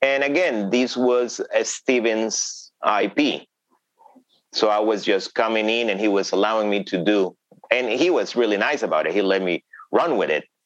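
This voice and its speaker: A man speaks in a Spanish accent at a moderate pace. His loudness stays very even, and his pitch varies in an ordinary way. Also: medium pitch for a man. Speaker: thriller novelist. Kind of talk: interview. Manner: hesitant with fillers.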